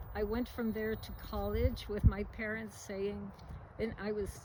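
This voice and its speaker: Audible room echo surrounds a woman speaking at a moderate pace in a New York accent. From US Northeast, New York City. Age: 80s+. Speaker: retired botanist and donor. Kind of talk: interview. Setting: at home.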